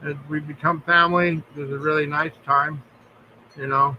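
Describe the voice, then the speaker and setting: A man speaks at a moderate pace in a fairly high pitch. His intonation is monotone and flat. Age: 60s. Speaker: live streamer. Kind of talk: casual chat. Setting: live stream.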